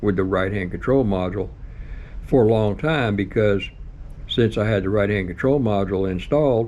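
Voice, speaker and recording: The room echo is audible. A man speaks at a fairly low pitch with ordinary pitch variation. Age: 70s. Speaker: motorcycle vlogger. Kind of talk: casual monologue.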